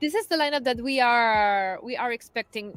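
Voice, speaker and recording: A woman speaks at a fairly quick pace with a non-native accent. Her pitch varies in an ordinary way. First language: not English. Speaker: football show host. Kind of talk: live stream chat. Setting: stadium.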